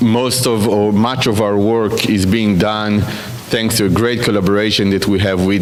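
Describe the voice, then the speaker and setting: A man speaks with an Israeli accent at a fairly low pitch, his intonation monotone and flat. Music plays in the background, and audible room echo surrounds him. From Israel, Jerusalem. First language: Hebrew. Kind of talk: speaker introduction at a conference.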